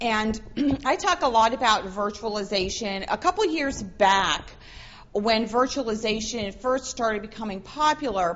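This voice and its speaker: This is a woman's voice. Her pitch is fairly high. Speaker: professor and forensics speaker. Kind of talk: conference talk. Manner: loud.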